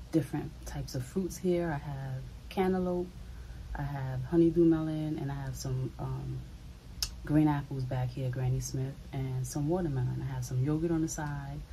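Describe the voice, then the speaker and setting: Moderate pace from a woman, over light background noise. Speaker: food video creator. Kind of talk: casual vlog chat. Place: home room.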